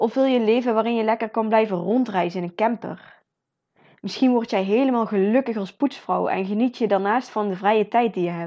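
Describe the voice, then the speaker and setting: With a normal speaking voice, a woman talks at a fairly quick pace, her fairly high pitch showing ordinary variation. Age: 20s. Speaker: podcast host, motivational speaker. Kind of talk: motivational monologue.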